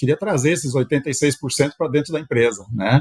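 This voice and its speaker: Recorded dry and close with no echo, this man speaks at a fairly high pitch with a somewhat breathy sound. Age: 60s. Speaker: company executive and shareholder. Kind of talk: podcast interview. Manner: halting, with frequent fillers.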